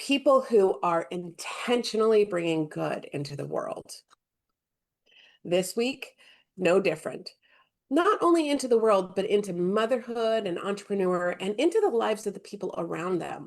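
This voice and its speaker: Speaking with a normal speaking voice, a woman uses lively intonation at a medium pitch and a moderate pace. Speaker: podcast host. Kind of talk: podcast intro. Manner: upbeat.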